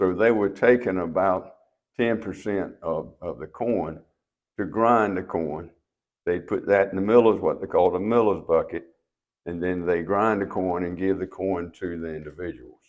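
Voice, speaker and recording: With an eastern North Carolina accent, a man speaks at a moderate pace in a very deep, low pitch with fairly even intonation against a quiet background. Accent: Southern US (eastern North Carolina). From US South, eastern North Carolina (Trenton, Jones County). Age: 80s+. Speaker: local elder, mill owner. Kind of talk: interview.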